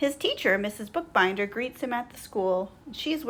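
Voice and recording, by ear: The voice reads aloud naturally, with lively intonation.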